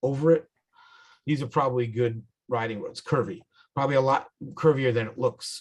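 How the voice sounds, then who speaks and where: With a New York accent, a man speaks in a somewhat breathy, medium-pitched voice at a fairly quick pace with ordinary pitch variation. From New York, the Bronx, then upstate. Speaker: motorcycle club instructor. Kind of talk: tutorial. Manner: casual, halting.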